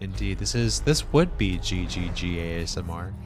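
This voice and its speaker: Music plays in the background as a man speaks with audible room echo. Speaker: video game streamer. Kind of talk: live gameplay stream chat. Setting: live stream. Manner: quiet ASMR-style whisper.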